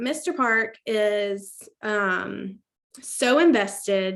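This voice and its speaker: A woman talks loudly with lively intonation at a fairly high pitch. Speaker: team leader hosting a sales team call. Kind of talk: team video call pep talk. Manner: projects loudly.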